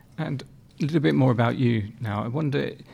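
The recording is very clean, with a silent background. A man speaks in a medium pitch, dark and mellow in tone, with ordinary pitch variation. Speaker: podcast host. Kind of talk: interview.

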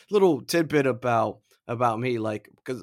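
This man has an unremarkable speaking voice at a medium pitch, delivered at a moderate pace. The recording is very clean and the background silent. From Florida. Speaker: podcast co-host. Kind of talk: casual chat.

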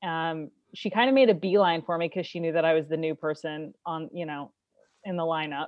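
At a fairly quick pace, a woman with a fairly low pitch speaks with ordinary pitch variation. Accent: American. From Kansas City, US Midwest. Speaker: stand-up comedian. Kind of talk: stand-up comedy routine, telling a story with punchlines and acted-out quoted dialogue. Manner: animated, comedic storytelling.

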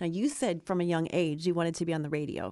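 A woman speaks in a normal speaking voice with an American accent, her pitch fairly low. Her intonation stays fairly even over a quiet background. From Ohio. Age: 50s. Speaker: life coach. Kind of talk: casual chat.

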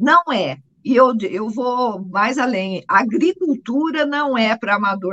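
Using lively intonation, a woman speaks at a high pitch. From Minas Gerais, Brazil (Guaxupé). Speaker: coffee farmer. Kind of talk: interview. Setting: remote connection.

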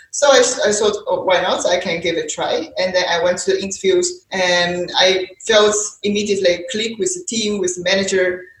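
Somewhat breathy, a woman talks at a moderate pace with fairly even intonation. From China. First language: Mandarin Chinese. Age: 30s. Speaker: happiness-at-work consultant and translator. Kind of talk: interview. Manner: halting, with frequent fillers.

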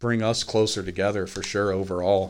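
On a very clean recording with a silent background, a man uses a normal speaking voice. He speaks at a fairly quick pace with a fairly low pitch and fairly even intonation. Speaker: podcast host. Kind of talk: casual banter. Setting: studio. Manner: joking, self-deprecating.

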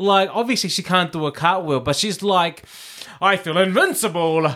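A man speaks in a raised, projected voice with an animated tone at a moderate pace. Noticeable background noise runs underneath. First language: Samoan. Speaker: drag performer and podcast co-host. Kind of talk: casual chat.

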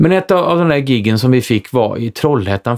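This man has a plain, everyday voice, medium in pitch, with lively intonation. He talks at a moderate pace, and the sound is dry and close with no echo. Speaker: stage actor. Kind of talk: casual chat.

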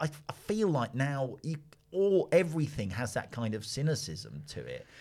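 A man with a London accent. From London, Finsbury Park. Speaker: analyst, podcast co-host. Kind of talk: casual discussion.

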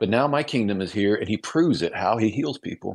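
A man with a Midwestern American accent at a fairly quick pace, in a quiet background. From US Midwest, small-town Illinois. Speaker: author and radio host. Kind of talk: radio interview.

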